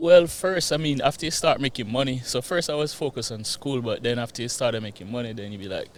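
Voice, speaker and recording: A man in a Jamaican accent at a medium pitch, very fast with hardly any pauses, with big swings in loudness and ordinary pitch variation. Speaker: real estate investor. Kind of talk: interview.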